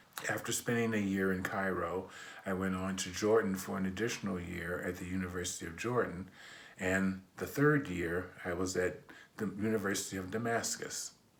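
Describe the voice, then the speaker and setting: A man with an American accent speaks at a very deep, low pitch and a moderate pace. His intonation is fairly even, and room echo is audible. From US Midwest, Detroit, Michigan. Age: 60s. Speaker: imam. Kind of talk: personal testimony.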